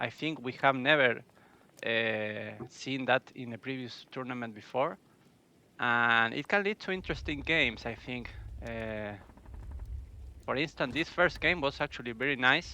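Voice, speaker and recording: Marked by vocal fry and long, frequent pauses, the speech moves at a moderate pace with ordinary pitch variation. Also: man, medium pitch for a man. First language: Spanish. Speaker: esports caster. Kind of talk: live commentary. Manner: halting.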